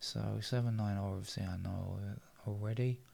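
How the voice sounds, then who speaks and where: A man's put-on character voice, mumbling and fairly low in pitch, with monotone, flat intonation at a moderate pace. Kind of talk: casual, murmuring to self while working.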